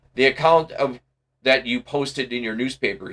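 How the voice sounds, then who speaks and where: Using a put-on character voice, a man talks at medium pitch and a moderate pace. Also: ordinary pitch variation. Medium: read story. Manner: formal, dry.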